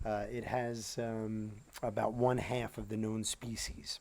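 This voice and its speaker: There is audible room echo around a man's voice. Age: 50s. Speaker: teacher. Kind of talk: lecture. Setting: outdoors. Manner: halting.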